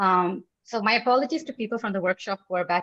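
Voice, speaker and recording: A woman speaks at a very fast pace with ordinary pitch variation and a dry, close sound with no echo. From Pakistan, Lahore. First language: not English. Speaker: writer and session leader. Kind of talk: online lecture / talk. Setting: online video session. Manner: mixes reading notes and improvised speech; stumbles and eats words when fast.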